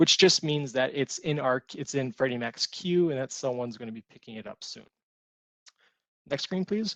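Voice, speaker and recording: A man's fairly high voice at a moderate pace, with lively intonation and a dry, close sound with no echo. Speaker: mortgage servicing presenter. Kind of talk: webinar presentation. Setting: conference call webinar. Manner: soft-spoken.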